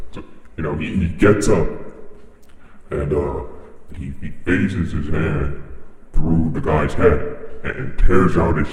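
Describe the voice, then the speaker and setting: Using a put-on character voice, a man speaks with a very deep, low pitch amid strong echo and light background noise. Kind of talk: stand-up comedy routine in character. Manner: hesitant, rambling, lots of filler words.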